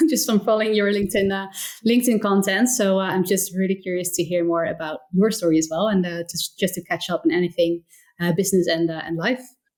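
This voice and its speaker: A woman talks very fast with a slight Dutch accent. Her pitch is medium and varies in an ordinary way. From Netherlands, near Rotterdam. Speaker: entrepreneur, community founder. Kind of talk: interview conversation.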